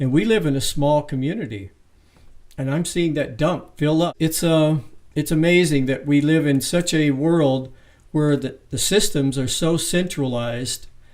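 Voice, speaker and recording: This man has a normal speaking voice, pitched fairly high, with ordinary pitch variation. He talks at a moderate pace. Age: 60s. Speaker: interviewer. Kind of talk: interview.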